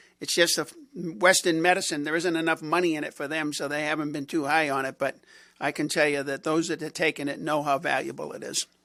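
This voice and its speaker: Fairly quick and monotone, a man speaks with flat intonation, a bright, sharp tone and a fairly high pitch. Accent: Boston. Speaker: radio host. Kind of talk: casual chat. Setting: studio.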